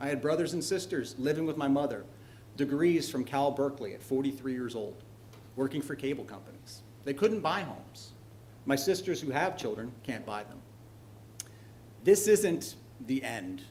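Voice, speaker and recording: A somewhat breathy man with a Californian accent in audible room echo, lively in intonation, moderate in pace, big swings in loudness and long, frequent pauses. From northern California. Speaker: landlord speaking at public comment. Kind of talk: public comment at a council meeting. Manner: halting, with fillers.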